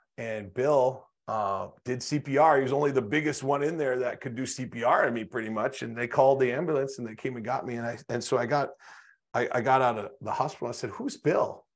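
Against a quiet background, a man with an American accent talks in a normal speaking voice. His pace is fairly quick, with fairly even intonation. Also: medium pitch for a man. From North Dakota, US. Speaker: motivational speaker and business consultant. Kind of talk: interview, personal testimony.

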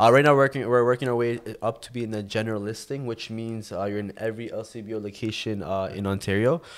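With a Toronto accent, a man talks at a very fast pace with hardly any pauses, his medium-pitched voice keeping fairly even intonation while its loudness swings widely. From Toronto area, Canada. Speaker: vodka brand founder. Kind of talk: casual interview. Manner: halting.

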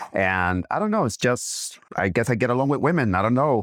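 A man at a medium pitch and moderate pace, in a dry, close sound with no echo. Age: 40s. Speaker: guest. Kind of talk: casual chat. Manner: halting.

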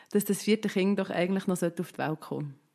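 Against a quiet background, a woman with a Swiss accent speaks at a medium pitch with fairly even intonation. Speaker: mother of four. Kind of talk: casual chat.

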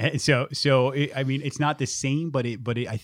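An unremarkable speaking voice from a man at a medium pitch with ordinary pitch variation. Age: 40s. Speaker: podcast host guest, military veteran in recovery. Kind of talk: casual chat.

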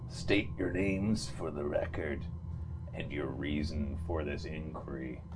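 A man performs a put-on character voice at a fairly slow pace against loud background noise. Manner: flat, hollow.

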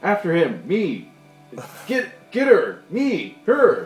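A put-on character voice speaks very slowly while faint music plays in the background. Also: man, extremely high pitch for a man. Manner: shouting, urgent.

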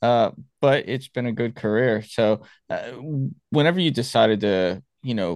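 In an unremarkable speaking voice, a man talks at a moderate pace with ordinary pitch variation, the sound dry and close with no echo over a quiet background. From Miami, Florida. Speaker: podcast host, Marine veteran. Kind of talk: interview.

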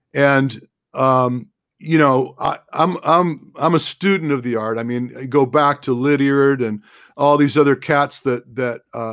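In a plain, everyday voice, a man of medium pitch speaks at a fairly slow pace with fairly even intonation. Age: 60s. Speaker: running form analyst and endurance training advisor. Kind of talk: casual interview.

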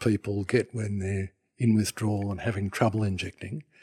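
A man with an Australian accent speaks fairly quickly in a fairly low, somewhat breathy voice. The recording is very clean, with a silent background. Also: dry, close sound with no echo. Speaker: retired anaesthetist doctor. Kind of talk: interview answers, explanatory.

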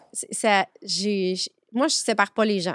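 This woman has a normal speaking voice at medium pitch, with ordinary pitch variation and a dry, close sound with no echo. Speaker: notary. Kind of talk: podcast interview.

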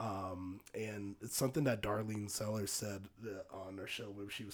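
A man with an American accent speaks at a fairly low pitch in a somewhat breathy voice. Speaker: podcast co-host. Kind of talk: casual chat. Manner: halting, many fillers and restarts.

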